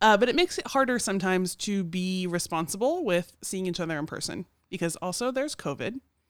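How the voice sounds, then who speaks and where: Talking at a very fast pace, a woman uses medium pitch and lively intonation. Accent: American. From Oklahoma City. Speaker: church podcast co-host. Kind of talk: casual chat.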